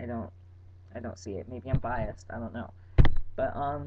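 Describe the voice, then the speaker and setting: This man's intonation is lively, and his voice is somewhat breathy. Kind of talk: casual vlog. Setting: webcam recording at home. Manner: animated.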